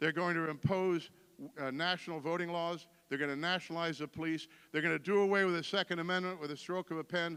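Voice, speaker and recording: In an American accent, a man talks at a very fast pace with a bright, sharp tone and a high pitch. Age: 60s. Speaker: political candidate. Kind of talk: campaign speech. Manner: animated.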